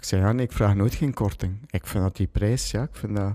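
On a very clean recording with a silent background, a man talks in a dark, mellow tone with ordinary pitch variation. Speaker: jeans maker and entrepreneur. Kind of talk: casual chat.

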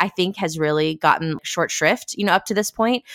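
On a very clean recording with a silent background and a dry, close sound with no echo, a woman speaks fairly quickly in a normal speaking voice, fairly low in pitch, with ordinary pitch variation. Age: 30s. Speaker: podcast co-host editor. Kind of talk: casual roundtable chat.

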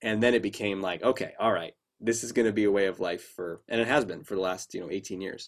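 A man's fairly low voice at a very fast pace, intonation fairly even. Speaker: clinical psychologist and confidence coach. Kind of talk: interview. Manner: dynamic, humorous speaker.

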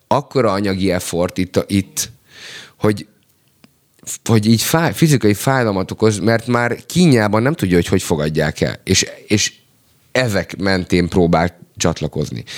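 A man at a fairly low pitch, fairly slow, with long, frequent pauses, lively intonation, very even loudness and a dry, close sound with no echo. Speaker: rapper and songwriter. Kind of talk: casual chat.

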